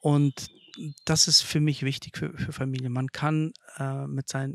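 A man speaks at a fairly slow pace with a fairly high pitch. His intonation stays fairly even, and the sound is dry and close with no echo. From Kazakhstan, Russian-German family, Germany from age seven. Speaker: site manager, interview guest. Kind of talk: casual interview. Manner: halting, many fillers.

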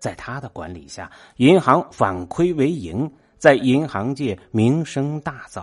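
Against a quiet background, a man speaks at a very slow pace and a medium pitch, with very wide pitch swings and big swings in loudness. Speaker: podcast host reading essays. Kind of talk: scripted narration.

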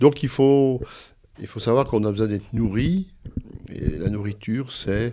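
A man's medium-pitched voice, dark and mellow, at a fairly slow pace with long, frequent pauses. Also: ordinary pitch variation. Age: 60s. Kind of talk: interview. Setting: library. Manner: halting.

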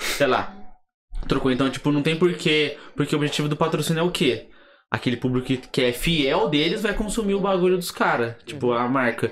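In an ordinary speaking voice, a man talks with lively intonation, a fairly high pitch and a moderate pace. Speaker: podcast host. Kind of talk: casual chat.

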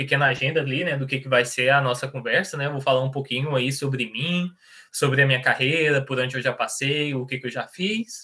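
Fairly high-pitched male voice, a normal speaking voice, at a moderate pace. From Brazil, Goiás (Niquelândia). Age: 20s. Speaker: software tech lead. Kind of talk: online presentation with Q&A.

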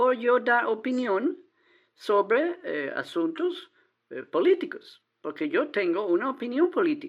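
Very slowly, a woman with a high pitch and an American accent speaks, her pitch swinging very widely. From Texas, small town. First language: English (speaking Spanish). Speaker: caller, adult-school teacher. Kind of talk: casual chat. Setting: phone call. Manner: halting, hesitant non-native Spanish.

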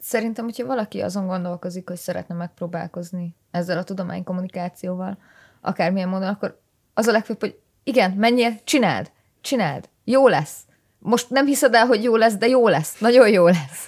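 In a very clean recording with a silent background and a dry, close sound with no echo, a woman with a plain, everyday voice speaks fairly quickly at a medium pitch with ordinary pitch variation. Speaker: biology PhD student. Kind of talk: casual chat.

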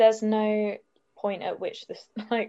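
A woman speaks at a moderate pace with a southern English accent. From southern England. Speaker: podcast guest. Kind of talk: casual chat.

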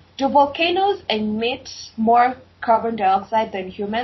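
At a moderate pace, a woman with a fairly high pitch sounds upbeat and somewhat breathy, with ordinary pitch variation. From equatorial-climate country. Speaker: podcast host. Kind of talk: interview.

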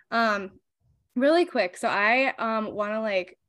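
Speaking in an unremarkable speaking voice, a woman keeps a moderate pace and medium pitch with ordinary pitch variation. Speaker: podcast host. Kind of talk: casual interview chat.

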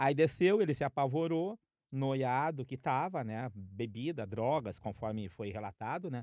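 A man with an unremarkable speaking voice talks at a fairly slow pace, the sound dry and close with no echo and the background quiet. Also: medium pitch for a man, lively intonation. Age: 50s. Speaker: podcast co-host. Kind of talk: casual chat.

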